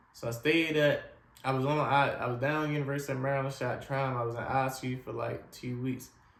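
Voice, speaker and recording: There is audible room echo as a man speaks fairly quickly at a medium pitch in a monotone, flat intonation. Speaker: spinal cord injury survivor sharing his story. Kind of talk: personal testimony. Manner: casual, repetitive storytelling.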